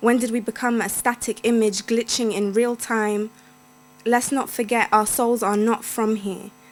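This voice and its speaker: A woman's fairly high, monotone, flat voice at a moderate pace, in a London accent. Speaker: poet. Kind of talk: poetry reading. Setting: stage with audience.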